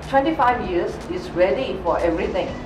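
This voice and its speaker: Noticeable background noise runs under the recording. A woman speaks with ordinary pitch variation. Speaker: network marketing leader. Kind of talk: interview answer. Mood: warm, pleasant. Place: studio.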